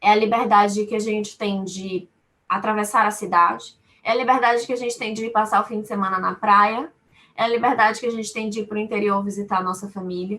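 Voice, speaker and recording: In a Bahian accent, a woman talks fairly quickly with a fairly high pitch, a bright, sharp tone and monotone, flat intonation. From Brazil, Salvador (Bahia). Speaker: lawyer. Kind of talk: webinar talk. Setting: webinar.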